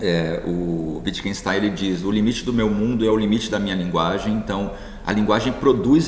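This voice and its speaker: Through audible room echo and noticeable background noise, a man talks at a fairly quick pace and a fairly low pitch. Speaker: philosophy professor. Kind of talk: lecture. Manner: hesitant fillers.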